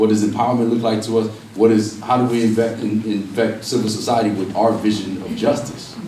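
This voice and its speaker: A man's medium-pitched voice in monotone, flat intonation at a fairly quick pace, with audible room echo and noticeable background noise. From Los Angeles, California (Watts, Compton). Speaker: professor and activist. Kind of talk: public talk.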